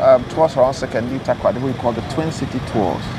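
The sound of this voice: Over clear background noise, the speech moves at a fast pace with ordinary pitch variation. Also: man, medium pitch for a man.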